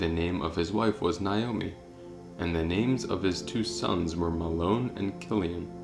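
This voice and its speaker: Music sits in the background behind a man. His very deep, low voice moves at a fairly slow pace. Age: young. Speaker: audio Bible narrator. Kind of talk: scripture reading. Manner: calm, meditative.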